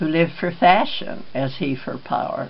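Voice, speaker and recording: The fairly slow speech has ordinary pitch variation, set against noticeable background noise. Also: woman. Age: 80s+. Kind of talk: poetry reading.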